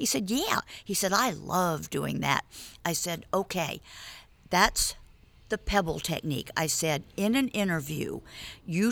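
A woman with an American accent, a fairly low pitch, vocal fry and lively intonation at a fairly slow pace, in a very clean recording with a silent background and a dry, close sound with no echo. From New York. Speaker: media coach. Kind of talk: casual chat. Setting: studio.

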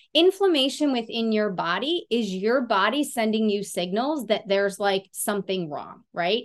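A woman's normal speaking voice, fairly high in pitch, at a moderate pace with lively intonation and hardly any pauses. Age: 40s. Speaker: certified fitness and nutrition coach. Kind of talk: casual interview chat.

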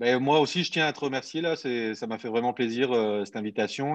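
Pitch varies in an ordinary way as the voice moves at a moderate pace. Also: man. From southern France, Montpellier. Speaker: barbecue enthusiast, YouTuber. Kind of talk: casual interview. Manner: hesitant, many fillers.

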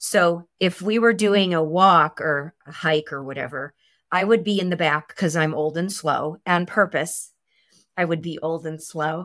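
On a very clean recording with a silent background, a woman with an American accent speaks at a fairly low pitch and a fairly slow pace with ordinary pitch variation, in an unremarkable speaking voice. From Chicago. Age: 60s. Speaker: behavioral health therapist. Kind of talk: interview.

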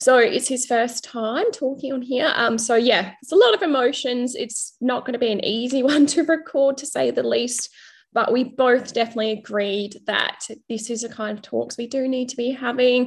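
Moderately paced speech from a woman, high in pitch, with ordinary pitch variation. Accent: Australian. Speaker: podcast host. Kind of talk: casual interview chat.

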